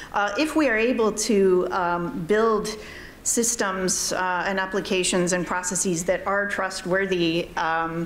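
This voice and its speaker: Over noticeable background noise and audible room echo, the speaker goes at a fairly slow pace with ordinary pitch variation. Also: woman, medium pitch for a woman. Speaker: panelist on AI ethics. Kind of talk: conference panel discussion. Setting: conference hall with audience. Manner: loud; hesitant, many fillers.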